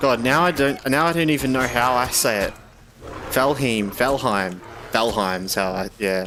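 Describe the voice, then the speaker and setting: A man with a medium pitch and an Australian accent talks at a fairly slow pace, his intonation lively. He leaves long, frequent pauses, and there is noticeable background noise. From Australia, eastern Victoria. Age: 20s. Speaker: gaming streamer. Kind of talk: casual chat. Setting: live stream.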